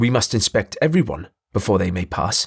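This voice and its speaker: A man's growling put-on character voice at medium pitch, fairly quick, with very wide pitch swings. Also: dry, close sound with no echo. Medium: read story. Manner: patronizing.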